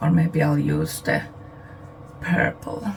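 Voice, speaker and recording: A quiet woman at a very slow pace over noticeable background noise. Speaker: beauty YouTuber. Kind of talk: product review.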